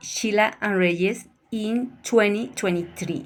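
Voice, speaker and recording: A woman speaks at a very slow pace. Her voice sits at a medium pitch with ordinary pitch variation. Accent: Colombian. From Colombia, Bogotá. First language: Spanish. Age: 50s. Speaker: language student. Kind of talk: prepared presentation.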